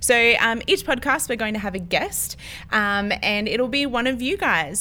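In an Australian accent, a woman speaks at a moderate pace with a fairly high pitch, a bright, sharp tone and ordinary pitch variation. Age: 20s. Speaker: podcast co-host, church office worker. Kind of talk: casual chat.

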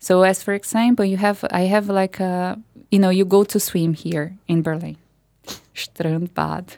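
A woman with a Portuguese accent, medium pitch and a dark, mellow tone, fairly slow and fairly even in intonation, in a very clean recording with a silent background. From Brazil. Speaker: artist and food activist. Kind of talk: interview. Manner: halting.

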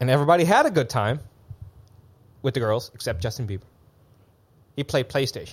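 A somewhat breathy man at a very fast pace, with lively intonation and long, frequent pauses. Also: medium pitch for a man. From Netherlands. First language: Dutch. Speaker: events entrepreneur living in Bangkok. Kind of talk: casual chat.

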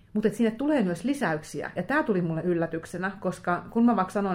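The pace is very fast. The intonation is lively. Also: woman. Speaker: crime novelist. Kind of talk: casual interview chat. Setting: hotel room.

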